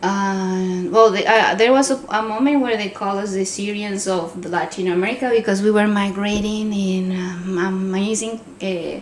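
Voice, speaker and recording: Over noticeable background noise and audible room echo, a woman speaks at a moderate pace and a medium pitch with ordinary pitch variation. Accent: slight Venezuelan. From Venezuela. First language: Spanish. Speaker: podcast co-host. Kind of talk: casual chat.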